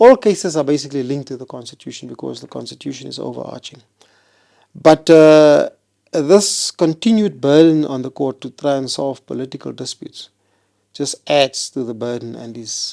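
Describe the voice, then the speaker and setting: A man with a South African accent talks at a moderate pace in a fairly high pitch, with ordinary pitch variation. His tone is dark and mellow, and his loudness swings widely. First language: Afrikaans. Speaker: constitutional court judge. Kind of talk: interview.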